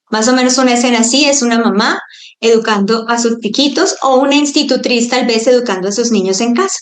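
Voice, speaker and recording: At a fairly quick pace, a woman talks with a high pitch. Her pitch variation is ordinary. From Colombia. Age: 40s. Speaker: homeschooling mother. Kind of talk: online talk to a group of mothers. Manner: halting.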